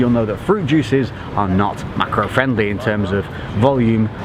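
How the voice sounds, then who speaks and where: A man's pitch varies in an ordinary way while noticeable background noise runs behind him. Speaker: fitness vlogger. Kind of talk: vlog narration. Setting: holiday resort abroad.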